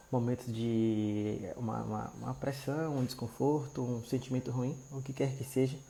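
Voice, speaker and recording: A soft-spoken man talks at a fairly slow pace with hardly any pauses. His medium pitch stays monotone and flat. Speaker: marriage restoration preacher. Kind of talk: live stream devotional talk. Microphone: quiet audio.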